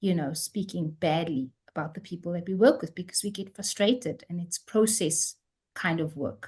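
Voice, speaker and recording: In a South African accent, a woman speaks at a moderate pace with a fairly low pitch and ordinary pitch variation. Her voice is somewhat breathy over a quiet background. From South Africa, Cape Town. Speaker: theology professor. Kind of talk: lecture.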